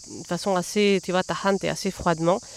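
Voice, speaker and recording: A woman with an unremarkable speaking voice talks at a medium pitch. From southern France (Massif central, Lozère). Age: 30s. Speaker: journalist and novelist. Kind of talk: casual interview. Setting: outdoors in a botanical garden.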